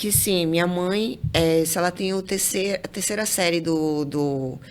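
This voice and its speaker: Amid noticeable background noise, a woman with a fairly low pitch talks at a fairly slow pace, with very even loudness and ordinary pitch variation. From Brazil, interior of Amazonas (near Manacapuru). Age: 30s. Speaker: civil engineer. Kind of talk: interview conversation. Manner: halting, with repeated words.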